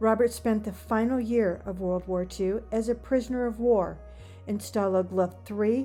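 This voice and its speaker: A woman talks fairly slowly with music playing behind her. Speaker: oral historian, interviewer. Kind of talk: documentary introduction narration.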